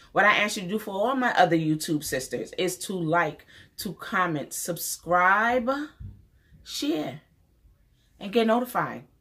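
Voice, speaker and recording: A woman with a New York accent speaks at a fairly slow pace, her tone bright, sharp and animated with lively intonation. She leaves long, frequent pauses against a quiet background. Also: medium pitch for a woman. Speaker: beauty YouTuber. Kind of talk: casual vlog talk to camera. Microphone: phone near.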